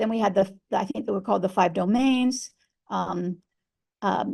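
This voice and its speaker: A woman talks at a moderate pace with lively intonation. Vocal fry runs through her voice. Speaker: veterinary social work professor. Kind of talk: webinar lecture. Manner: halting, many fillers.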